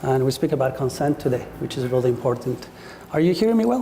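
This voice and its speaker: A man with an Ecuadorian accent speaks quietly at a fairly high pitch over noticeable background noise. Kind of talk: public talk. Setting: speaking to a live audience in a room. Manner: too quiet.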